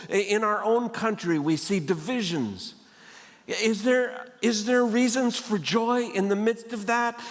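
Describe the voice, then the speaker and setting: Audible room echo surrounds a man with a high pitch and ordinary pitch variation. He talks at a fairly slow pace. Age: 70s. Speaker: guest speaker. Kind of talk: sermon. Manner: humorous storytelling.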